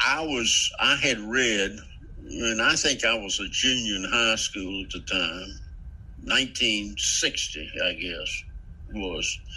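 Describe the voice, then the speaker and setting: Over noticeable background noise, a man with an American accent speaks at a very slow pace. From Central Virginia. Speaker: author. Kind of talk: casual interview. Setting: remote call. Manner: halting, many fillers.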